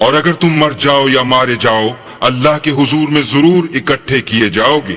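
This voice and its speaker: Over music in the background, a man at a fairly high pitch speaks at a fairly slow pace with ordinary pitch variation and very even loudness. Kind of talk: Hindi/Urdu translation reading alternating with Arabic verses.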